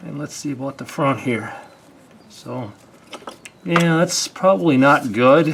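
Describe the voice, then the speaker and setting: Noticeable background noise accompanies very slow speech. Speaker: ATV owner and DIY mechanic. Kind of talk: casual how-to talk to camera.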